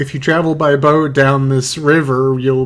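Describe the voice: Fairly even intonation accompanies plain reading aloud.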